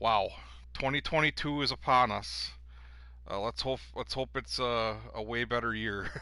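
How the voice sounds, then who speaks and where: A man with a Wisconsin accent speaks at a fairly slow pace against a quiet background. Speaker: gaming league commissioner and streamer. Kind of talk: casual commentary show. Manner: casual, many filler words.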